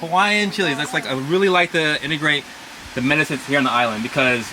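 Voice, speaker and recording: Through noticeable background noise, a man with a fairly high pitch speaks at a very fast pace. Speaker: herbalist and chef teaching a workshop. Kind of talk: live demonstration workshop. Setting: outdoors with small audience. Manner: animated.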